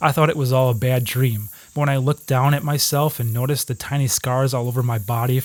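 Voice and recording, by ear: Someone is reading aloud in a natural voice with fairly even intonation.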